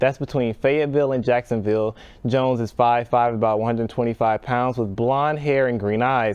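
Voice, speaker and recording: The speaker has a plain, everyday voice with an American accent. Pitch variation is ordinary. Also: man. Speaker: broadcast journalism student intern news anchor. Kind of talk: TV news anchor read from prompter.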